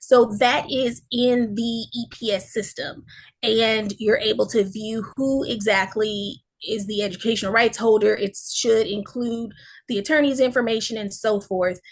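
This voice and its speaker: Somewhat breathy and fairly even in intonation, the voice is heard against a quiet background. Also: woman, fairly high pitch for a woman, fairly slow pace. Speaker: school district staff presenter. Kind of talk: presentation in online meeting.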